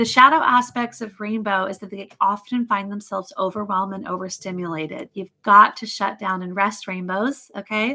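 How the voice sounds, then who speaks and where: A woman's medium-pitched voice with a bright, sharp tone, ordinary pitch variation, big swings in loudness, a moderate pace and hardly any pauses. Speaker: psychic mentor. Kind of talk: live stream teaching session. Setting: live video stream.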